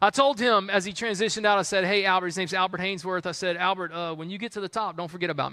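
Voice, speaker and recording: Someone with an American accent speaks in a raised, projected voice. Pitch variation is ordinary, and background noise is noticeable. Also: man. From US South, Columbia, South Carolina. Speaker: pastor. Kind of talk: sermon. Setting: church.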